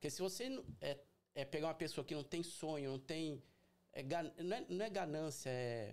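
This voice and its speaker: A man's plain, everyday voice, fairly high in pitch, with lively intonation at a moderate pace. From Brazil, São Paulo city. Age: 40s. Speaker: carpet and upholstery cleaning business owner. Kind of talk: casual interview. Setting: livestream.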